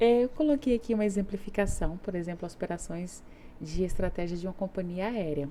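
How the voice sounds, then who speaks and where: At a fairly quick pace, this voice has a dark, mellow tone and ordinary pitch variation. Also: woman, medium pitch for a woman. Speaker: teacher. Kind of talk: lecture.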